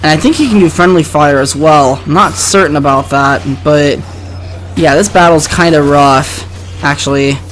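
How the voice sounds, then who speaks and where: The speech moves at a moderate pace. Music plays in the background. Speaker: let's play commentator. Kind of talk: gameplay commentary. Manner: halting.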